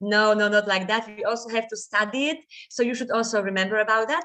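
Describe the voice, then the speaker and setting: A woman with a Polish accent, fairly high pitch, and a fairly quick pace. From Poland. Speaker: guest lecturer. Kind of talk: lecture. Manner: fast.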